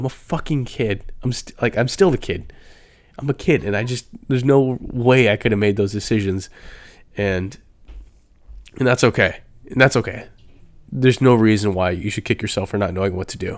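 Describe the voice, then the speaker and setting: A man with an American accent and a medium pitch talks at a fairly quick pace. His pitch variation is ordinary, and he takes long, frequent pauses. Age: 20s. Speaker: podcast host. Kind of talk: casual solo monologue. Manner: casual, filler-heavy.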